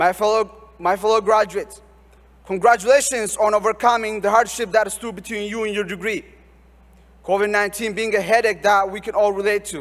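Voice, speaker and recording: A man speaks fairly quickly in a high voice with fairly even intonation, over noticeable background noise. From Ethiopia, Oromia region. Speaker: graduating student speaker. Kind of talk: commencement speech. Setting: stage with audience. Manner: formal.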